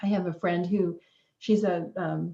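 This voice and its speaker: A woman's somewhat breathy, dark, mellow voice at a medium pitch, with ordinary pitch variation and a moderate pace. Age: 60s. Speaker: wellness author and guest. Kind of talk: interview.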